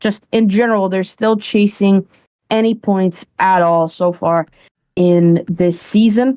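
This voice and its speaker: A woman's medium-pitched voice with a dark, mellow tone and a non-native accent, very slow in pace and very even in loudness. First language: not English. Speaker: esports caster. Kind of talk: live commentary.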